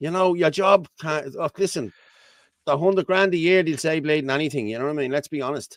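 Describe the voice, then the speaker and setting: Fairly high pitch from a man with ordinary pitch variation, in a dry, close sound with no echo. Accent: Irish. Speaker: talk show co-host. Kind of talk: casual panel chat. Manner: loud; animated.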